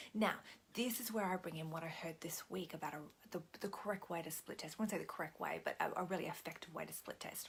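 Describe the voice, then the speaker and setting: A woman speaks at a very fast pace in a fairly low, somewhat breathy voice. Her pitch varies in an ordinary way. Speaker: business coach. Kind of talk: video tutorial. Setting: at home at night. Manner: soft-spoken; halting.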